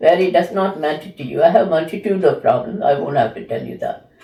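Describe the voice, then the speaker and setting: A woman with a fairly low voice speaks at a fairly quick pace with lively intonation, with noticeable background noise behind her. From India. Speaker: academic with PhD, former librarian. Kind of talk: interview.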